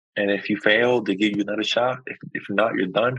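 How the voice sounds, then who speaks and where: A man speaks with a Spanish accent. His pitch is fairly low and his pace moderate. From Puerto Rico. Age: 30s. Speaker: Coast Guard member and Army veteran. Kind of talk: interview.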